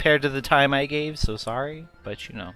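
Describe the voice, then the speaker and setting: Over background music, a man talks at a medium pitch. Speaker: video game streamer. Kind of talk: live gameplay commentary. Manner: halting.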